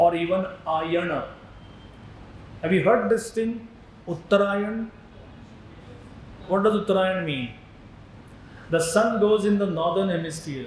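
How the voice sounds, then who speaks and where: With a Marathi accent, a man speaks fairly slowly in a high voice, with long, frequent pauses, noticeable background noise and audible room echo. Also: ordinary pitch variation. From India, Maharashtra. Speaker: spiritual teacher. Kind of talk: lecture.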